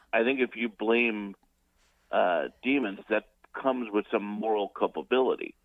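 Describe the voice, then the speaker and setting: At a moderate pace, a man talks in a plain, everyday voice at medium pitch with fairly even intonation. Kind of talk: radio call-in commentary. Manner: casual, humorous.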